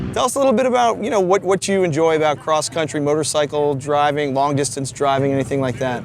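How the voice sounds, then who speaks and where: Very fast, with hardly any pauses and very even loudness, a man with a fairly high pitch and an American accent speaks with lively intonation over noticeable background noise. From New Jersey. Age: 50s. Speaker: travel show host and musician. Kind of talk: casual interview and on-camera talk.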